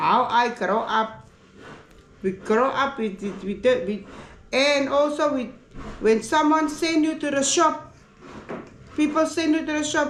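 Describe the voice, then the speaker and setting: The intonation is lively, but the pace is fairly slow, with long, frequent pauses. Room echo is audible. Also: woman, high pitch for a woman. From South Africa, Cape Town (Athlone, Cape Flats). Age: 60s. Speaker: family member. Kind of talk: casual chat. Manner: halting.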